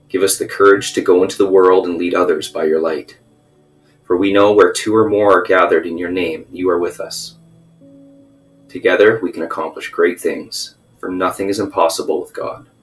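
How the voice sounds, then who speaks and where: The speaking pace is fairly quick. Music sounds in the background. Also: man. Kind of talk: prayer. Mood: solemn, reverent. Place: home room. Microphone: webcam.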